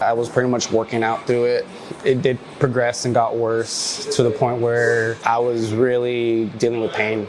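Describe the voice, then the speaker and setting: A man's medium-pitched voice in a relaxed tone with an American accent, at a moderate pace, amid noticeable background noise and audible room echo. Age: 30s. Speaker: skateboarder. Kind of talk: casual interview monologue. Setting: local gym. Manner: relaxed, filler-heavy.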